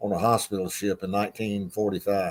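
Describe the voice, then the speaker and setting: In an Appalachian accent, a man speaks with fairly low pitch, fairly even intonation and a moderate pace. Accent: US Southern (Appalachian North Carolina). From North Carolina. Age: 70s. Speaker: retired racing official. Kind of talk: interview. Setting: video call.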